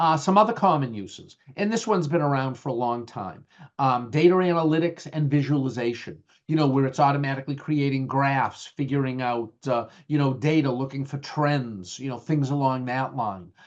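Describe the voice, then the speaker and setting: This man has a strong Boston accent. His voice is pitched fairly high. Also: ordinary pitch variation, moderate pace. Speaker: IT management trainer. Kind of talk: webinar lecture. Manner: halting, many fillers.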